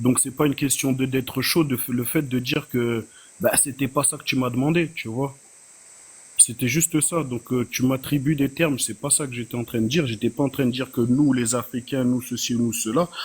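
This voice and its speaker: A man talks in a plain, everyday voice at a medium pitch. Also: fairly even intonation, moderate pace. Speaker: panelist. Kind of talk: heated debate. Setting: online live panel.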